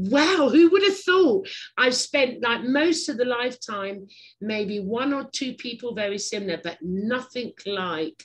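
A woman speaks with an English accent and lively intonation. Her voice is somewhat breathy, and her pace is fairly slow. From England. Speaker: podcast host. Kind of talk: casual interview chat. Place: home room. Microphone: webcam.

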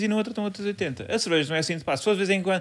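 A very clean recording, silent background, and lively intonation. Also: man. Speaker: comedy podcast co-host. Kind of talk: casual chat.

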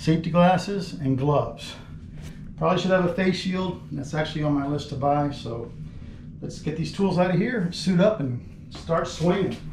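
A high-pitched male voice with audible room echo and light background noise. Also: ordinary pitch variation, moderate pace. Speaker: remodeling contractor. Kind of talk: tutorial. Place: bathroom.

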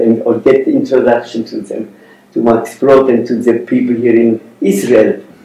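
With audible room echo, a man talks at a medium pitch and a fairly slow pace. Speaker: Holocaust survivor and artist. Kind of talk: interview answer. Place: meeting room.

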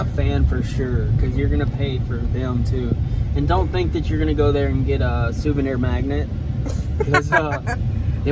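Through loud background noise, a man talks at a moderate pace with ordinary pitch variation in a dry sound with no echo. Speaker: vlogger. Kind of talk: casual vlog chat. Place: car. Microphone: phone near.

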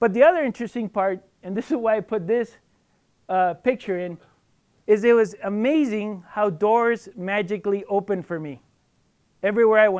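In an American accent, a man speaks fairly quickly at a high pitch with ordinary pitch variation, the background quiet. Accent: Mexican American English. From southern New Mexico, US. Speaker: biologist; guest. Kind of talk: lecture. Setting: stage with audience. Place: hall.

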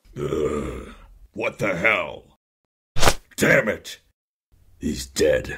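Using a raspy, cartoonish character voice, a man speaks at a very slow pace with long, frequent pauses. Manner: gruff.

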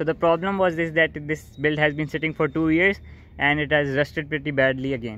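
A man talks with fairly even intonation in a dry sound with no echo. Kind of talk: casual vlog chat. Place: garage. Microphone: phone near.

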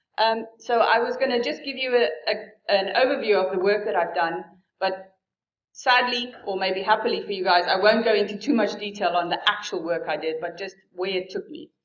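Audible room echo surrounds a woman speaking at a moderate pace. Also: ordinary pitch variation. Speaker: keynote speaker. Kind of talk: keynote lecture. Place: hall.

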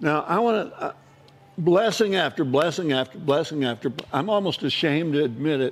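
Fairly quick speech in an American accent with lively intonation, over music in the background. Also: man, fairly high pitch for a man. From Southern California. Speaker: retired probation officer and teacher. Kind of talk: testimony. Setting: stage with audience. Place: cafe. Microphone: lapel.

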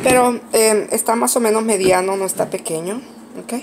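A woman speaks at a fairly slow pace in a slightly mellow, nasal voice with vocal fry, over faint background noise.

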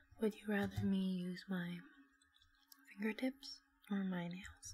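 Soft-spoken and somewhat breathy, a woman talks at a fairly slow pace in a gentle tone with ordinary pitch variation. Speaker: video creator. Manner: soft-spoken, gentle ASMR voice. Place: home room. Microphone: earbuds.

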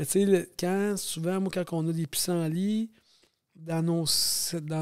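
This man's voice sits at a high pitch, with fairly even intonation. The recording is very clean, the background silent. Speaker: farmer. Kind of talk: casual chat. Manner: fast.

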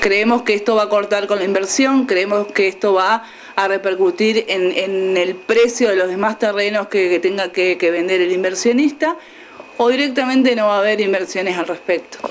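Over light background noise, a woman talks at a moderate pace with ordinary pitch variation and very even loudness. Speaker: local councillor. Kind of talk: interview answer. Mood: calm, explanatory. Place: hall.

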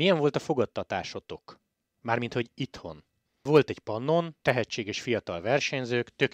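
A man's plain, everyday voice at a medium pitch and fairly quick pace, with a dry, close sound and no echo. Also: quiet background. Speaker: cycling podcast host. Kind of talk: casual interview.

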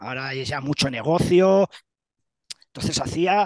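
Over a quiet background, a man talks at a fairly slow pace with ordinary pitch variation in a dry sound with no echo. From Spain, Castilla-La Mancha (Ciudad Real); Castilla-La Mancha, Spain. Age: 50s. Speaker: retired bodybuilding champion; interviewee. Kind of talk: interview. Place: home room. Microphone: headset.

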